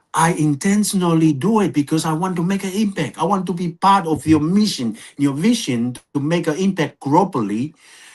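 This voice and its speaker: A high-pitched man with a non-native accent, lively intonation and hardly any pauses, over a quiet background. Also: moderate pace. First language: not English. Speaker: podcast co-presenter. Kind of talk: podcast conversation.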